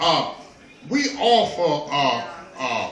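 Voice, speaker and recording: Amid noticeable background noise and audible room echo, a man projects a raised voice with very wide pitch swings. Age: 60s. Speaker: storyteller and peace teacher. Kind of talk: casual talk to an audience. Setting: kava bar. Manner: halting, with many repetitions.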